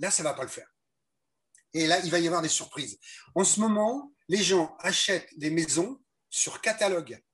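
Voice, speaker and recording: A man speaks with a high pitch and ordinary pitch variation. His pace is moderate, broken by long, frequent pauses. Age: 70s. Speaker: ecological lifestyle teacher. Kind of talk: interview. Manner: halting.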